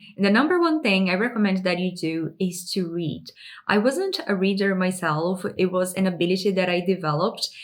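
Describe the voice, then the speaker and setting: With a non-native accent, a woman talks fairly quickly at a medium pitch and ordinary pitch variation. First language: not English. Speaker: lifestyle and personal growth YouTuber. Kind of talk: direct-to-camera advice talk.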